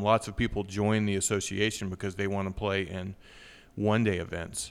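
A man with an American accent and a plain, everyday voice speaks at a fairly quick pace with a fairly low pitch on a very clean recording with a silent background. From southwest Virginia. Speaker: golf association executive director. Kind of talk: interview.

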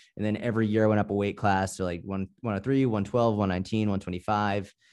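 In an American accent, a man speaks with monotone, flat intonation at a fairly low pitch over a quiet background. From Boston, US. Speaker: personal trainer and online fitness coach. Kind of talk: casual interview. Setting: video call.

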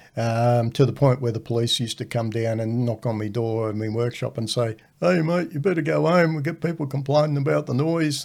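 The recording is very clean, with a silent background. A man with a medium pitch talks at a fairly quick pace, his intonation lively. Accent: Australian. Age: 60s. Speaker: retired welding instructor, host's father. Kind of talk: casual chat.

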